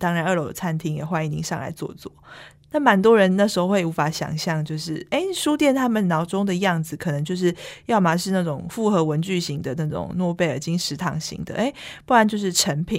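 A woman speaks at a fairly quick pace with a Taiwanese accent. The recording is very clean, with a silent background. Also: fairly low pitch for a woman, ordinary pitch variation. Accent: Taiwanese Mandarin. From Taipei, Taiwan. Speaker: bookstore manager. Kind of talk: interview.

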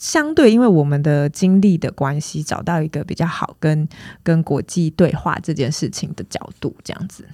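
In a Taiwanese accent, a woman speaks at a moderate pace with a fairly low pitch. Her tone is dark and mellow, with ordinary pitch variation. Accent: Taiwanese Mandarin. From Taiwan, Tainan. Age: 30s. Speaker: film producer. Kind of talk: interview.

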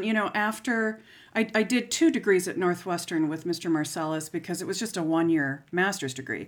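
An American accent carries very wide pitch swings in a very clean recording with a silent background. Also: woman, hardly any pauses. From US, Florida (St. Petersburg). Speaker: clarinet professor. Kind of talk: interview.

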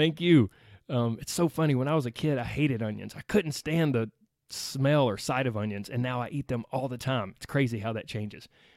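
A man with an American accent talks at medium pitch in an animated tone, at a fairly quick pace with ordinary pitch variation. The recording is very clean, with a silent background and a dry, close sound with no echo. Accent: Southern US, slight to strong. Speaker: weight loss podcast host. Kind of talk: motivational solo podcast talk.

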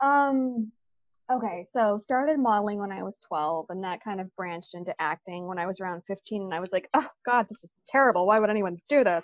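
In a normal speaking voice, a woman with an American accent talks at a fairly quick pace and medium pitch with lively intonation, the sound dry and close with no echo. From Michigan (Detroit). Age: 30s. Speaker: actor, model and podcaster. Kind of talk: casual interview chat.

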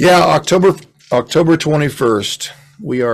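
A man with an unremarkable speaking voice talks at a fairly slow pace with ordinary pitch variation. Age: 60s. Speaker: pastor and musician. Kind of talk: casual chat. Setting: home recording studio.

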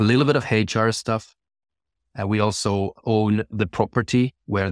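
A man with a Finnish accent, dry and close with no echo, on a very clean recording over a silent background. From Finland. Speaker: chief financial officer. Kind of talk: interview.

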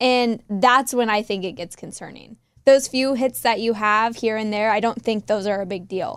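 At a moderate pace, a woman with a fairly high pitch speaks in a normal speaking voice with ordinary pitch variation. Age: 20s. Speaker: radio show staff member. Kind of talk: casual chat. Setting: studio.

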